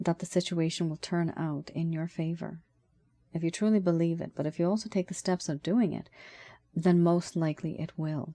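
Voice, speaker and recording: A woman's fairly low, fairly quick voice, an unremarkable speaking voice, in a very clean, dry, close recording with no echo and a silent background. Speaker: tarot reader. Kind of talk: tarot reading. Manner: casual, conversational.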